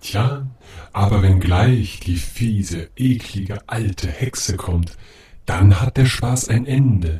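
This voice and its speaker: A man puts on a character voice, fairly low in pitch, at a fairly slow pace. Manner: dry, matter-of-fact.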